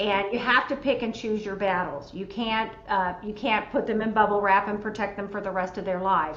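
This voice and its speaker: A woman with a medium pitch talks at a moderate pace with fairly even intonation and hardly any pauses. Audible room echo and noticeable background noise fill the recording. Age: 60s. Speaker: senior care expert. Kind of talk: panel discussion.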